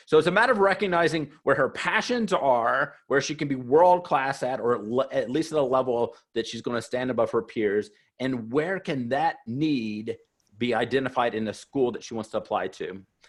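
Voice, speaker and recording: This man has an ordinary speaking voice and an American accent, with a medium pitch. He moves at a moderate pace with lively intonation. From US South. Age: 40s. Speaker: college admissions consultant. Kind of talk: webinar presentation. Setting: webinar.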